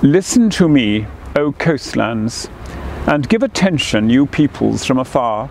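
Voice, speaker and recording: A man speaks quietly in a solemn tone at a fairly high pitch with lively intonation, the sound dry with no echo and light background noise behind him. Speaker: cathedral dean leading prayers. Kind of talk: fervent prayer, intoning liturgy and blessing. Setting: outdoors in a garden. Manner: solemn, slow, reverent, hushed, measured cadence; formal. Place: garden.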